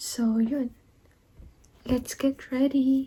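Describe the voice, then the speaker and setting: Soft-spoken and very slow, a woman talks in a high pitch with monotone, flat intonation. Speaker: vlogger. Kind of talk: casual vlog chat. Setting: at home, partner in meeting next room.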